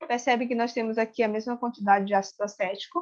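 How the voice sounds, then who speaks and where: A woman speaks with a high pitch. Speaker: chemistry teacher. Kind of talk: lecture with experiment demonstration.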